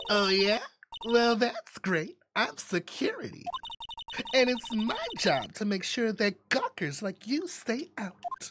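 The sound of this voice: Speaking at a fairly slow pace, a put-on character voice sits at a fairly high pitch.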